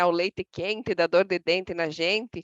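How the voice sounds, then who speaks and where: Over a quiet background, a woman speaks fairly slowly with ordinary pitch variation in a dry, close sound with no echo. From Brazilian interior. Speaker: association president. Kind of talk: podcast interview.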